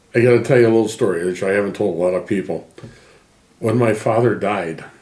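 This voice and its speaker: A man with an American accent talks at a very fast pace in a fairly low pitch. His pitch variation is ordinary, and audible room echo is present. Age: 70s. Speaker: interviewee, emigrant family member. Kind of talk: interview.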